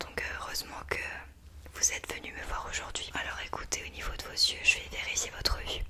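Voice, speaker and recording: Over noticeable background noise, a woman whispers in a gentle tone. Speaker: ASMR creator playing a doctor. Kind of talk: ASMR roleplay, doctor consultation. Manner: soft, gentle, slow, caring.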